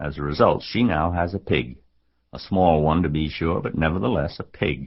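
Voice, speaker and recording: Very deep, low male voice with vocal fry, a moderate pace and ordinary pitch variation. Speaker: audiobook narrator. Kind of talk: children's audiobook narration.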